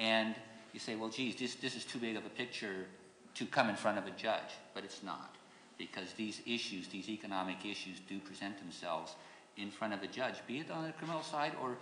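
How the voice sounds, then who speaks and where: A man with a fairly low voice speaks at a fairly quick pace amid audible room echo. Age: 60s. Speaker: judicial candidate, lawyer. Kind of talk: candidate forum closing statement. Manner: halting, repeats words.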